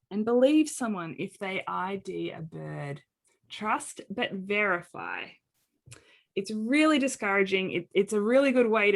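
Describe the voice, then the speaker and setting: A woman with an Australian accent speaks at a fairly slow pace and medium pitch, her intonation lively, on a very clean recording with a silent background. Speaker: occupational therapist and accessibility advocate. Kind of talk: presentation.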